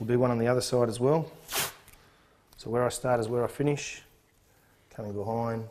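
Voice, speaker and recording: Speaking with an Australian accent, a man uses a medium pitch and fairly even intonation. His pace is fairly quick, broken by long, frequent pauses. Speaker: sports trainer. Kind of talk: tutorial.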